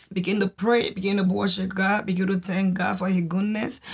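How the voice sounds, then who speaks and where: A somewhat breathy voice with fairly even intonation comes through over a quiet background. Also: woman. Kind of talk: prayer exhortation. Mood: fervent, devotional. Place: home room. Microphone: phone near.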